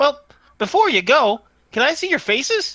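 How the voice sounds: This female-sounding voice is a put-on character voice. It sits high in pitch and swings very widely.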